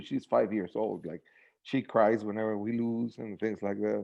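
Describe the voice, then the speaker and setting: Over a quiet background, a man with a Spanish accent speaks at a moderate pace and a fairly low pitch. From Mexico. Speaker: sports super fan. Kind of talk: casual interview. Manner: halting.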